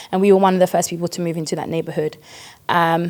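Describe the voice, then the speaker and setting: A woman's fairly low voice stays monotone and flat. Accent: British. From East London, England (British Ghanaian). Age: 30s. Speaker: podcast guest, church member. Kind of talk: casual interview.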